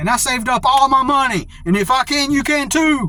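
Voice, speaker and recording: Over noticeable background noise, a man projects a raised voice at an extremely high pitch. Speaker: video blogger. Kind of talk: casual monologue. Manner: halting, many fillers and repeats.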